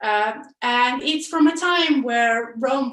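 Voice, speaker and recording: In an Italian accent, a woman speaks at a very slow pace with a high pitch and lively intonation. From Italy. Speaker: software developer, conference speaker. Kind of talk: conference talk. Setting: online video presentation. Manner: hesitant, many fillers.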